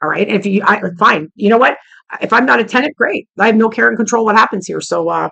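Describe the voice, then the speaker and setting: A woman's very fast, animated voice, fairly high and bright and sharp, with vocal fry and ordinary pitch variation. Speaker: vlogger. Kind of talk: casual rant to camera.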